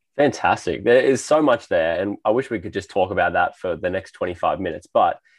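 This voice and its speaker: Against a quiet background, the speaker talks at a very fast pace with an Australian accent. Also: man. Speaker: podcast host. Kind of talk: casual interview chat.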